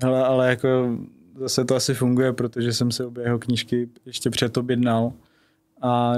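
A man's monotone, flat intonation on a very clean recording with a silent background. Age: 20s. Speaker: real estate agent. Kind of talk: interview. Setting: studio.

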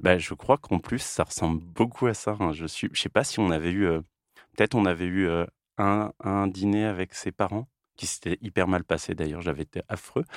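Recorded very cleanly with a silent background and a dry, close sound with no echo, a man speaks at a moderate pace in a very deep, low voice. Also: ordinary pitch variation. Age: 40s. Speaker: podcast host, comic artist. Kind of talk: casual chat. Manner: halting.

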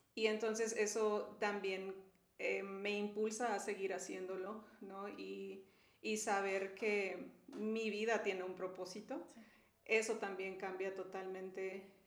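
At a very slow pace, a woman speaks in a flat monotone at medium pitch, with audible room echo around her. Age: 40s. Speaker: mother and marriage ministry leader. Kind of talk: casual chat.

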